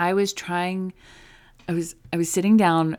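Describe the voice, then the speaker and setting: A woman with a normal speaking voice keeps a moderate pace and fairly even intonation in a very clean recording with a silent background. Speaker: recovery podcast host and coach. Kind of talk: solo podcast monologue, with advice and a direct, angry-sounding rant at 6:42.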